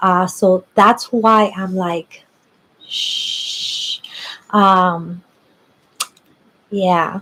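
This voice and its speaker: A woman whispers quietly at a very slow pace. She leaves long, frequent pauses. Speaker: psychic tarot reader livestreamer. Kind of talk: live stream reading and chat. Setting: at someone else's house, live stream. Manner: quiet whispering.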